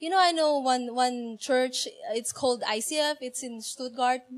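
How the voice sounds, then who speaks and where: Slow-ish and high-pitched, a woman's voice moves at a fairly slow pace. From Asia. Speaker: church member. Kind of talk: testimony.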